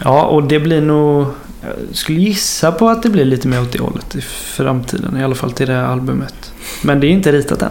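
The voice moves at a fairly quick pace with ordinary pitch variation, against noticeable background noise and audible room echo. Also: man, fairly high pitch for a man. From western Sweden (Mark municipality, Västergötland). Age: 20s. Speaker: musician. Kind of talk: casual chat.

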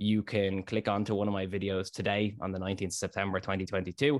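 A man with a Dublin accent speaks at a fairly low pitch with monotone, flat intonation. The recording is very clean, with a silent background. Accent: Dublin Irish. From Ireland, south Dublin suburbs. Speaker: finance content creator. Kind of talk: interview.

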